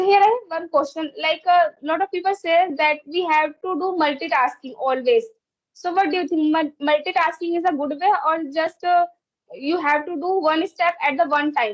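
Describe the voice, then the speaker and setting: Her voice is extremely high-pitched. The woman talks at a moderate pace with ordinary pitch variation. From India. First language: Hindi or another Indian language. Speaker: English learner in conversation practice. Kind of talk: casual conversation practice. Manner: halting, with repetitions.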